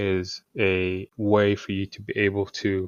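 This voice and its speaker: A man's fairly low voice in a flat monotone. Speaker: tech tutorial maker. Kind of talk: tutorial. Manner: soft-spoken, talking quietly.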